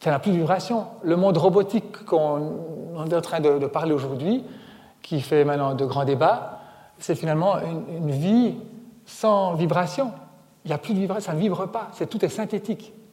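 A man with a high voice talks at a moderate pace with ordinary pitch variation. He leaves long, frequent pauses. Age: 40s. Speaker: author and environmental speaker. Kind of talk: public lecture. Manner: animated.

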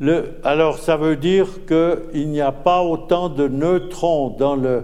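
A man talks very slowly at a fairly high pitch with fairly even intonation. There is audible room echo. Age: old. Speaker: retired physics professor. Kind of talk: public lecture. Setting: stage with audience.

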